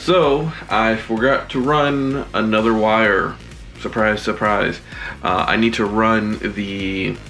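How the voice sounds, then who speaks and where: Music plays behind a man with a fairly low pitch and ordinary pitch variation. He speaks at a very slow pace with very even loudness. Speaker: DIY box truck camper builder. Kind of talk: casual talk to camera.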